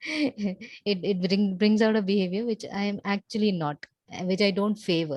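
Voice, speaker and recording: A woman at a medium pitch talks at a moderate pace with ordinary pitch variation, in a dry, close sound with no echo. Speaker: coaching client. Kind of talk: one-on-one coaching session. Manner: soft-spoken; halting.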